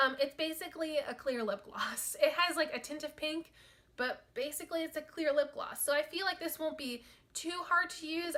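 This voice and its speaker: A woman speaks in a raised, projected voice. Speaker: beauty vlogger. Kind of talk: casual product review monologue. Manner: fast.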